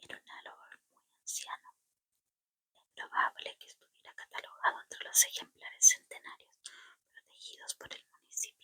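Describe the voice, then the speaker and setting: Whispering at a moderate pace, a woman makes big swings in loudness in a dry, close sound with no echo. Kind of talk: audiobook-style reading of a novel aloud. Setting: home-recorded, casual setup. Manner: soft-spoken, whispered.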